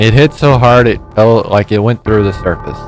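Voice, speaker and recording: With music in the background, a man speaks in a fairly low voice at a fairly slow pace with ordinary pitch variation. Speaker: gaming streamer. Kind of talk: let's play commentary. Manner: stumbling over words.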